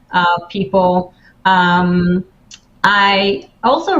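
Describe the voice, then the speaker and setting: A woman with an Israeli accent speaks at a medium pitch in a somewhat breathy voice. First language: Hebrew. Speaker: life coach. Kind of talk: interview. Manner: halting.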